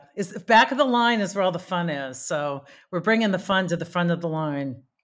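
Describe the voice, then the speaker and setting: Woman with a plain, everyday voice, fairly low in pitch, at a moderate pace with lively intonation, on a very clean recording with a silent background. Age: 50s. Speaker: hiking advocate. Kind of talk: casual chat.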